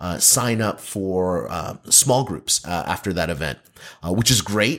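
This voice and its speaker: A man with an American accent and a normal speaking voice, lively intonation at a moderate pace, on a very clean recording with a silent background. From US Northeast, New Jersey. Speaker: pastor. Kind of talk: casual chat.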